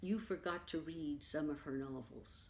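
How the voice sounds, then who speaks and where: With an American accent, this woman has a very deep, low pitch, a dark, mellow tone and lively intonation. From New York City. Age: 80s+. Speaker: poet and community organizer. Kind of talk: oral history interview. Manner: animated.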